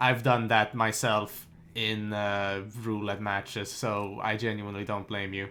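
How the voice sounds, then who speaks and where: A man with a bright, sharp tone at a fairly slow pace. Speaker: esports caster. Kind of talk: live commentary.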